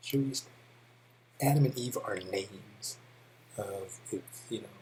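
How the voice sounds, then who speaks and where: With an American accent, a man speaks at a fairly slow pace, with a medium pitch and ordinary pitch variation. His tone is dark and mellow, and his voice is somewhat breathy. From California. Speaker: English teacher. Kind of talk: tutorial. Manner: casual with many fillers.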